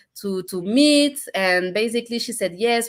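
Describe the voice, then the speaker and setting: This woman speaks with a French accent and lively intonation. The recording is very clean, with a silent background. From France. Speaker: entrepreneur. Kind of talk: casual chat. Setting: live stream. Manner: hesitant, many fillers.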